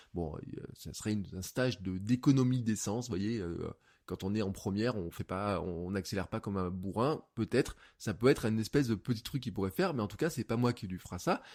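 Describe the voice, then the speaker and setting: On a very clean recording with a silent background, a man with an energetic tone and fairly low pitch speaks at a fairly quick pace using ordinary pitch variation. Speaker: podcast host and coach. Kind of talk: solo podcast monologue. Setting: home office, untreated room. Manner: fast.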